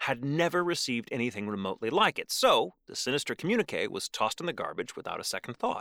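With an American accent, a man talks in a dramatic, animated tone at a fairly quick pace, the recording very clean with a silent background and a dry, close sound free of echo. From Texas. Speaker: podcast co-host. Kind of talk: true-crime narration, reading aloud. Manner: dramatic, suspenseful, with sardonic asides; animated, jokey.

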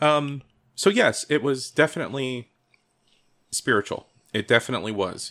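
With an American accent, a man speaks at a moderate pace in a fairly high pitch with a bright, sharp tone. His pitch varies in an ordinary way, and he takes long, frequent pauses. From Ohio, US (Cleveland, then Columbus). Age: 40s. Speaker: freemason, podcast guest. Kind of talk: casual chat.

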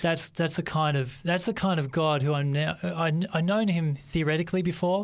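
A man speaks with an Australian accent at a moderate pace, his intonation fairly even. The recording is very clean, with a silent background. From Australia, Western Sydney. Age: 30s. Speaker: pastor. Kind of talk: testimony. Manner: halting.

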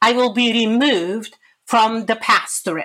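A woman with a Bulgarian accent has a fairly high pitch and a bright, sharp tone. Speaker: pastor. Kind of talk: interview.

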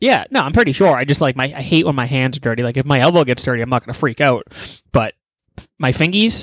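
A man with a medium pitch talks at a fairly quick pace, with ordinary pitch variation. Long, frequent pauses break up his speech, and the sound is dry and close with no echo. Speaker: podcast co-host. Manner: loud, crude, combative.

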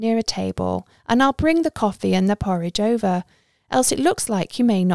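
Quiet surroundings and a natural reading voice

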